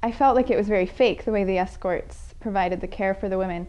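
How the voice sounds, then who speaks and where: A woman's medium-pitched voice with ordinary pitch variation, an unremarkable speaking voice. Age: young. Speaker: pro-life activist. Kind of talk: interview testimony.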